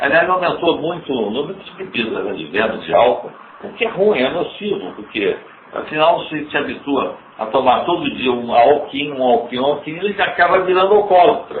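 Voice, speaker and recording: A man speaks at a fairly high pitch with very wide pitch swings and a moderate pace. Audible room echo and noticeable background noise are present. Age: 80s+. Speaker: company founder. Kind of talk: earnings call Q&A.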